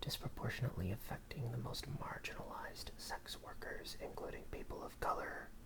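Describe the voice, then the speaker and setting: Noticeable background noise surrounds whispering delivered at a moderate pace. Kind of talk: ASMR book reading in a whisper. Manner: whispered, soft.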